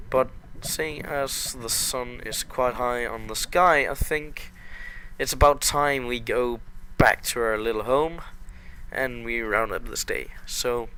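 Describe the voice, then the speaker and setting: At a very slow pace, a man speaks with a medium pitch, a bright, sharp tone and fairly even intonation. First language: not English. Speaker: gaming YouTuber. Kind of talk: let's play commentary. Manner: hesitant, many filler words; slow paced.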